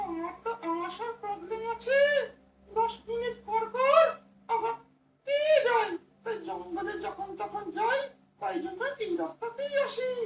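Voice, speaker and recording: With a slight echo, a put-on character voice at an extremely high pitch moves at a moderate pace. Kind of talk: comic ventriloquist stage play. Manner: exaggerated, comic.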